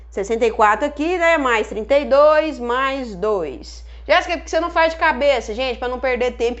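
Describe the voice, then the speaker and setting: Noticeable background noise under a woman talking at a moderate pace. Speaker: chemistry teacher. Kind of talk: live online lesson. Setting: Instagram live stream.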